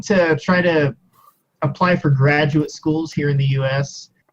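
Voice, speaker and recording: Slightly breathy, a man with an American accent speaks at a fairly slow pace, with fairly high pitch and ordinary pitch variation. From US Midwest, Missouri Ozarks. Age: 20s. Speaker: university student, YouTuber. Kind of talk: interview.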